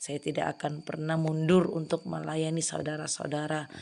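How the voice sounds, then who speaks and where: This woman's voice is fairly low in pitch. She talks at a moderate pace. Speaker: hospital prayer minister. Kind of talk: testimony.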